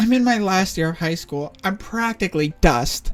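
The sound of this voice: Lively intonation in an unforced reading voice.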